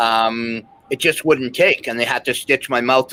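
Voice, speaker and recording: A man's bright, sharp tone comes through dry and close with no echo. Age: 60s. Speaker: former athlete. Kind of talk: casual interview chat.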